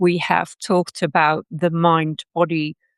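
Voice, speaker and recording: A very slow delivery in a Dutch accent, dry and close with no echo, against a quiet background. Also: woman. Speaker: personal development teacher. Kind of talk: lecture. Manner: hesitant, many fillers.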